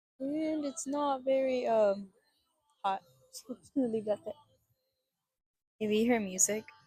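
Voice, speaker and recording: A woman with an American accent, high pitch and a dark, mellow tone, with ordinary pitch variation, big swings in loudness and long, frequent pauses. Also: moderate pace. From Mexican American, US. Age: 20s. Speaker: vlogger. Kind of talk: casual vlog monologue. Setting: outdoors in a park. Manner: rambling, hesitant with fillers.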